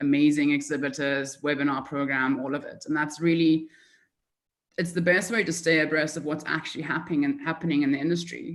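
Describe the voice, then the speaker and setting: This woman talks at a fairly quick pace with a very deep, low pitch. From South Africa. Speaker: market development manager. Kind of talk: conference presentation. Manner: fast.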